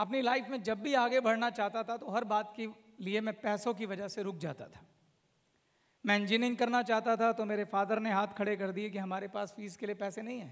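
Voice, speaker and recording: A man with a high pitch speaks at a moderate pace and with fairly even intonation. His loudness swings widely against a quiet background. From India, Uttar Pradesh (Saharanpur), then Delhi; Uttar Pradesh. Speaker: company founder, motivational speaker; motivational speaker. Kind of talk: motivational speech. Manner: emphatic, repetitive. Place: hall. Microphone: handheld.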